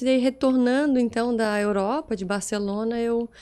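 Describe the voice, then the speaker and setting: A woman speaks with a strong Santa Catarina accent and fairly even intonation. The recording is very clean, with a silent background. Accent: strong local Itajaí. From Brazil, Itajaí (Santa Catarina coast). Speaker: architect and business association president. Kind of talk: podcast interview. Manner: fast.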